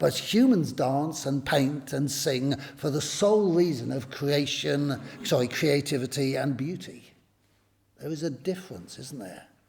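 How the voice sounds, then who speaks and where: A man's fairly high voice at a fairly slow pace, with ordinary pitch variation and audible room echo. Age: 60s. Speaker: pastor. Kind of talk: public talk to a church audience. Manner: conversational, with hesitations.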